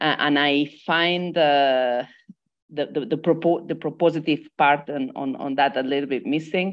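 In a quiet background, a woman speaks in a very deep, low voice with ordinary pitch variation. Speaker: debt and development activist; speaker. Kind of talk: online panel discussion. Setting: video call. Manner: halting, many repetitions. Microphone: earbuds.

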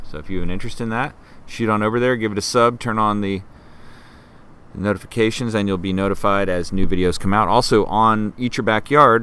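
Fairly low-pitched yet bright and sharp in tone, a man talks at a fairly quick pace with fairly even intonation in a dry sound with no echo. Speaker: gardening channel host. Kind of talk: casual live stream chat. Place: garden.

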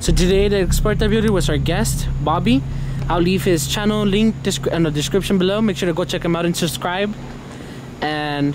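Over noticeable background noise, a man talks with ordinary pitch variation in a dry sound with no echo. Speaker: video host. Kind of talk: casual vlog outro. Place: street.

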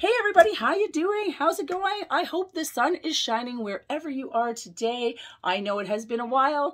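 Against a quiet background, a woman talks at a fairly quick pace and a high pitch, her pitch swinging very widely. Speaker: toy collector vlogger. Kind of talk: casual vlog chat. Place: home room. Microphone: phone near.

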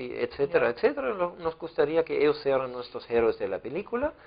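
A man's high voice against a quiet background. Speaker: interviewee. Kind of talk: interview answer. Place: studio.

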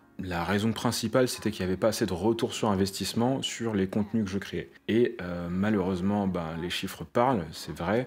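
A man with a fairly low pitch speaks at a moderate pace with ordinary pitch variation. He hardly pauses, and faint music plays in the background. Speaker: web developer and YouTuber; developer YouTuber. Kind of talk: casual vlog talk to camera. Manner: conversational, with filler hesitations. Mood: reflective, candid. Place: home room.

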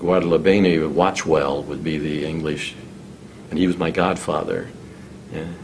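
A man speaks at a fairly slow pace in a very deep, low pitch with fairly even intonation. Long, frequent pauses break up his speech over light background noise. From Illinois. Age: 80s+. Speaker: retired engineer recalling local history; interviewee. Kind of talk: oral history interview; interview answer, storytelling. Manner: halting, many fillers and repetitions. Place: meeting room. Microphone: studio mic.

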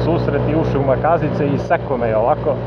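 A man talks at a fairly quick pace. Loud background noise fills the clip. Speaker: motorcycle vlogger. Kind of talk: casual vlog chat. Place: motorbike. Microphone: helmet.

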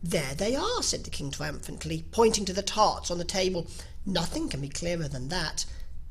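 Natural voice of someone reading

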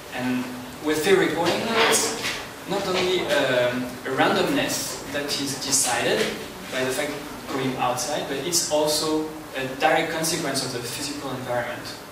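A man with a French accent talks at a moderate pace, with noticeable background noise and audible room echo. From France. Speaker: sound artist giving a talk. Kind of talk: lecture.

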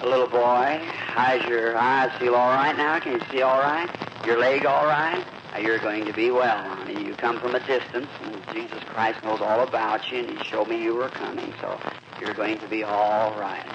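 A man with an American accent talks at a moderate pace with ordinary pitch variation over noticeable background noise. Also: medium pitch for a man. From United States. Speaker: preacher leading a healing service. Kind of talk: sermon at a healing revival meeting. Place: hall. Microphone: old recording.

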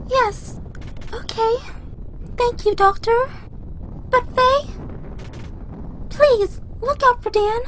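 Loud background noise fills this very slow delivery, broken by long, frequent pauses. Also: woman, extremely high pitch for a woman. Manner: worried, polite.

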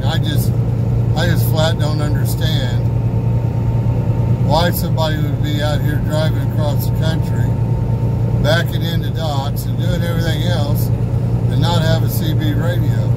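A man speaks at a fairly slow pace, leaving long, frequent pauses. Loud background noise runs behind him. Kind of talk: casual vlog chat. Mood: relaxed, chatty. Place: car. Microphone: phone near.

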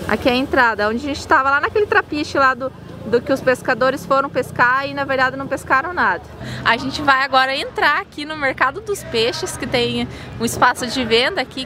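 Over music in the background, a woman talks in a raised, projected voice at a fairly quick pace, the sound dry with no echo. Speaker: travel vlogger. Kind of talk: casual vlog chat. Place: street. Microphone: phone near.

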